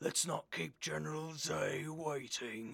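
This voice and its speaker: The speaker uses a raspy, put-on character voice at a fairly slow pace. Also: man. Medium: read story. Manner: calm, terse, authoritative.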